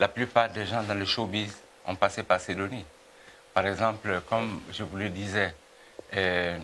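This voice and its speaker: A man speaks slowly with long, frequent pauses, his fairly low voice held in a monotone, flat intonation. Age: 70s. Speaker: music producer and businessman. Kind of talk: TV interview. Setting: TV studio. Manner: halting, many hesitations.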